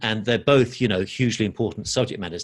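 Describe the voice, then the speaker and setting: At a very fast pace, a man with an English accent keeps his intonation fairly even in a very clean recording with a silent background. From London, England. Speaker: financial educator. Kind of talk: podcast interview.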